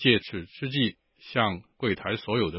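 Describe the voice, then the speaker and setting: A man with an unremarkable speaking voice talks at a fairly slow pace. His intonation is lively. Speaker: listener letter reader. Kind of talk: reading aloud.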